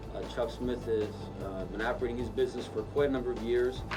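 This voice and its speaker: A man speaks at a medium pitch with ordinary pitch variation while music plays behind him. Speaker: attorney and title agency owner. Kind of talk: testimonial to camera. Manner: hesitant, halting.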